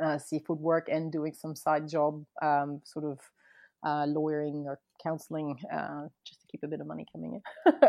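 A woman with a French accent, very deep and low in pitch, flat and monotone, at a moderate pace. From France, raised partly near Boston. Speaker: photographer and former lawyer. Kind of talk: casual interview.

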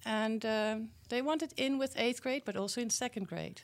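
A woman with a Dutch accent is heard in a very clean recording with a silent background. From Netherlands. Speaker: program founder working with schools. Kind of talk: casual interview.

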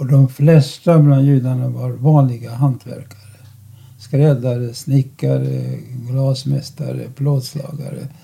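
With a dark, mellow tone and a somewhat breathy quality, a man at medium pitch speaks very slowly in a monotone, flat delivery. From Czechoslovakia. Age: 90s. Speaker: Holocaust survivor and lecturer. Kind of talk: interview. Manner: halting.

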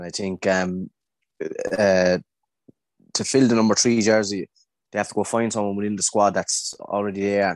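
Speaking at a moderate pace with an Irish accent, this voice stays monotone and flat, broken by long, frequent pauses, in a dry, close sound with no echo over a quiet background. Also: man, fairly low pitch for a man. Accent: Tipperary Irish. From Ireland, Tipperary. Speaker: GAA club member. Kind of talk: casual chat.

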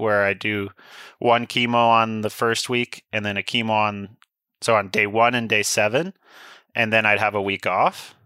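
A bright, sharp, monotone voice with flat intonation and a Canadian accent, at a moderate pace, in a very clean, silent recording with a dry, close sound and no echo. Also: man. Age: 20s. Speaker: downhill mountain bike racer. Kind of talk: casual interview.

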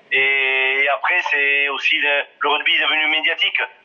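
The voice moves at a very slow pace. Noticeable background noise runs beneath it. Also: man. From southwest France, Ariège. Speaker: former rugby player and coach. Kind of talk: interview. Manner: halting, many hesitations.

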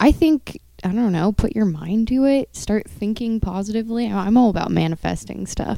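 A woman with an American accent speaks with hardly any pauses. Her voice is fairly high, with a dark, mellow tone. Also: ordinary pitch variation, moderate pace. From San Francisco, US. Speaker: model. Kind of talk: casual chat.

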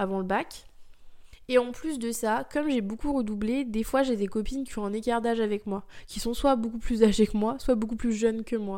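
Her voice sits fairly high for a woman, with a dark, mellow tone, fairly even intonation and a moderate pace. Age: 20s. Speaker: podcast host. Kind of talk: casual monologue. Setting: in bed. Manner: hesitant.

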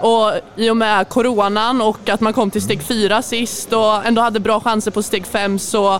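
A woman at medium pitch keeps her intonation fairly even against noticeable background noise. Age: young (18). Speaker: handball player. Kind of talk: casual interview. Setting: at a youth championship event venue.

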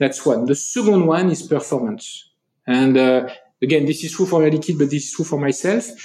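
Speaking with a French accent, a man uses a dark, mellow, somewhat breathy tone at fairly high pitch, with ordinary pitch variation and a fairly quick pace. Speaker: company CEO. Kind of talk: interview. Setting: in person in Paris. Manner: hesitant, many fillers.

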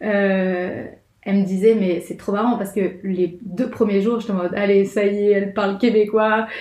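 A woman's medium-pitched voice at a moderate pace, monotone and flat, over noticeable background noise. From France. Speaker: graphic designer living abroad. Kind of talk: casual chat.

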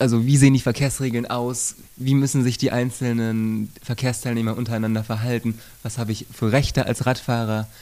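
Recorded very cleanly against a silent background, a man talks at a fairly quick pace. His pitch is medium and his tone dark and mellow. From Sauerland, western Germany. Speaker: bicycle police officer. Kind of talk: interview. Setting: on-site recording at police station. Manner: halting, frequent word repetitions.

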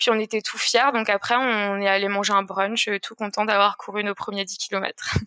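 Bright, sharp speech in a monotone with flat intonation and hardly any pauses, dry and close with no echo. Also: woman, medium pitch for a woman, moderate pace. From Alsace, France. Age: 20s. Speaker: amateur trail runner. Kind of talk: interview. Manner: hesitant, many fillers.

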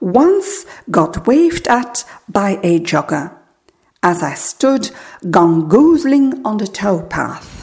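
Her pitch rises and falls in very wide swings. The woman talks at a very slow pace. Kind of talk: poem reading aloud, first a French poem, then an English one. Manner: slow, measured, lyrical and contemplative, with pauses between images.

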